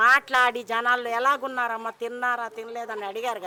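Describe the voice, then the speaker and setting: This woman has a plain, everyday voice. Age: 60s. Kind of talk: street interview answer.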